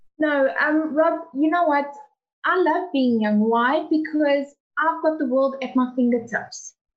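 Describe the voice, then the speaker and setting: At a fairly slow pace, a woman talks in a high voice with ordinary pitch variation and very even loudness. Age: 20s. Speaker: student and network marketer. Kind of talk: online panel discussion. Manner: shy.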